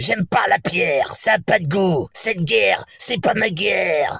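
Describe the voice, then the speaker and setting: A man puts on a character voice, pitched high, and speaks at a moderate pace. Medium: solo performance. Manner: menacing, gruff.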